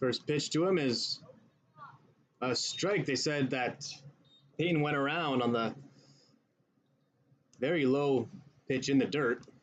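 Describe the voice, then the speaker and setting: A man with a fairly high pitch, ordinary pitch variation, a fairly slow pace and long, frequent pauses. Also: very even loudness. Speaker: baseball play-by-play announcer. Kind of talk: live sports play-by-play commentary.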